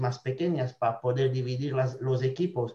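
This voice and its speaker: A man's somewhat breathy voice with a slight non-native accent, medium in pitch, dark and mellow in tone. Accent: slight foreign accent in Spanish. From Belgium. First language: not Spanish (speaking Spanish). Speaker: cloud architect. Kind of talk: casual chat. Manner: halting.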